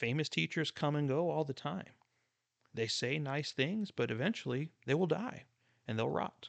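A man with a normal speaking voice, fairly high in pitch with ordinary pitch variation, comes across in a dry, close sound with no echo. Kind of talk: fervent prayer led by a preacher, closing the teaching; sermon-style teaching. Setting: solo podcast recording. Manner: hushed, reverent, slow and earnest, pleading tone.

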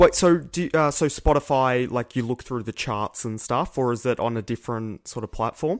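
In a very clean recording with a silent background and a dry, close sound with no echo, a man speaks at medium pitch and a moderate pace, with ordinary pitch variation, hardly any pauses and an unremarkable speaking voice. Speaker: podcast host. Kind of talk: casual chat.

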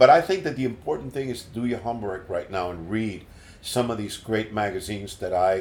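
At a fairly quick pace, a man with a fairly low pitch and ordinary pitch variation talks in an unremarkable speaking voice. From Puerto Rico and New York City. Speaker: musician and radio announcer. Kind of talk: casual interview, life story. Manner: kind, friendly, relaxed.

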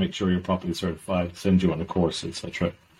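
A somewhat breathy man with a southern Irish accent, talking at a very fast pace. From southern Ireland. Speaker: maritime sustainability consultant. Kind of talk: interview.

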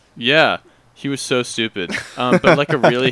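At a moderate pace, a man talks in a medium-pitched voice with ordinary pitch variation, the sound dry and close with no echo. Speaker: podcast co-host. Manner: casual, many filler words.

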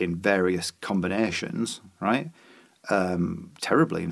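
Speaking at a fairly slow pace, a man talks with a Yorkshire accent. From Yorkshire, York. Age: 40s. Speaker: musician and author. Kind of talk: casual chat.

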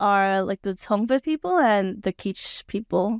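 A woman with a plain, everyday voice and a fairly high pitch speaks with lively intonation, recorded very cleanly with a silent background and a dry, close sound with no echo. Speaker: podcast host. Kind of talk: casual chat, podcast interview.

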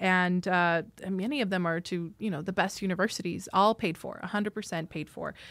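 With an American accent and a plain, everyday voice, a woman talks at a fairly quick pace at medium pitch, with fairly even intonation and hardly any pauses. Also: very clean recording, silent background. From US, rural Idaho. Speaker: diplomat. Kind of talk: interview.

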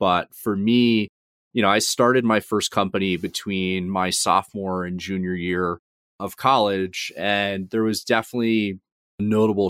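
In an American accent, a man speaks in an ordinary speaking voice at a fairly slow pace with fairly even intonation, the sound dry and close with no echo. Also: very clean recording, silent background. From US South, Georgia (Atlanta suburbs). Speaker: fintech founder and CEO. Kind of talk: interview.

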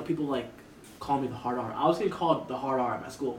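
This man's fairly high voice races along at a very fast speed, with ordinary variation in pitch. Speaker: content creator. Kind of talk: casual chat.

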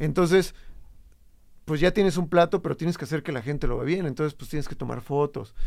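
A man's fairly high voice with vocal fry, at a fairly quick pace. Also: ordinary pitch variation. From Morelos, Mexico. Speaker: DJ and creative entrepreneur. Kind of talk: casual chat.

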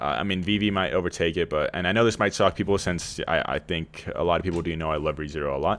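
A man's very deep, low voice with vocal fry, ordinary pitch variation and a very fast pace. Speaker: podcast co-host. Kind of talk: casual chat. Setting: remote call.

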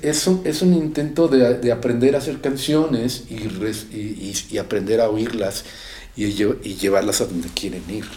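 A man talks at a fairly slow pace with lively intonation, with audible room echo and noticeable background noise. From Mexico, raised in Ciudad Satélite area (State of Mexico), born in Guadalajara. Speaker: rock musician and singer. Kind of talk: casual interview chat. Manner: halting, many repetitions.

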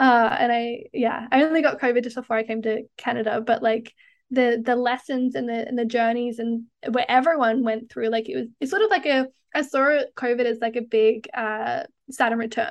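A woman speaks in a high voice at a moderate pace. Her intonation stays fairly even. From Australia. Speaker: tantric hypnotherapist. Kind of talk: casual interview chat.

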